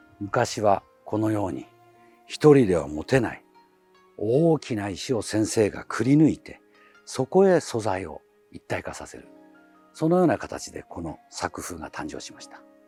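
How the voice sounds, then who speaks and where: With music in the background, the voice moves at a fairly slow pace, broken by long, frequent pauses, with big swings in loudness and very wide pitch swings. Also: man, fairly low pitch for a man. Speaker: channel navigator, bonsai presenter. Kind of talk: introduction to camera. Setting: outdoors, garden.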